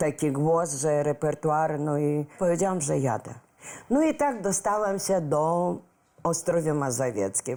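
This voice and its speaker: Speaking at a fairly slow pace, a woman with a very deep, low pitch and a dark, mellow tone keeps her loudness very even while her intonation stays lively. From Ukraine, Lviv. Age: 60s. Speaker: singer. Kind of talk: talk show interview. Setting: studio with audience. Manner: energetic.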